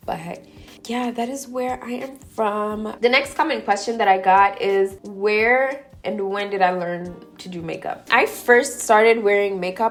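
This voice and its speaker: Music plays behind a woman with an American accent whose fairly high voice moves at a fairly slow pace, with hardly any pauses and big swings in loudness. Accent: slight Kenyan accent noticed by viewers. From Kenya (Nairobi), to US at 11. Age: 20s. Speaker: beauty vlogger. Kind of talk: casual chat, get-ready-with-me Q&A. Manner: chatty, casual.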